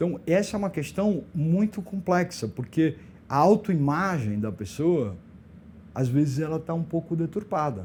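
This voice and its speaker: Talking at a fairly slow pace, a man with a plain, everyday voice and fairly high pitch uses lively intonation. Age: 60s. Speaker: LGBT elder rights activist. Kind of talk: podcast interview.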